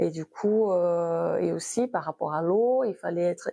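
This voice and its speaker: Against a quiet background, a woman with a medium pitch and a dark, mellow tone speaks at a fairly slow pace with ordinary pitch variation, in a dry, close sound with no echo. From Brazil. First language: Brazilian Portuguese (speaking French). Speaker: abstract painter. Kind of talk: interview. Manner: halting.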